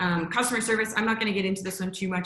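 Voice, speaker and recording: With fairly even intonation, a woman's voice carries through audible room echo. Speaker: security company trainer. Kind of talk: virtual workshop presentation. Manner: fast.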